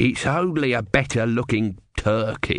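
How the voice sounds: The clip features a natural reading voice.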